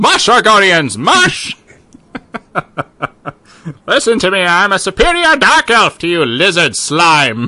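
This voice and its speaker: A man's put-on character voice, high in pitch, at a fairly slow pace with long, frequent pauses. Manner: commanding, haughty.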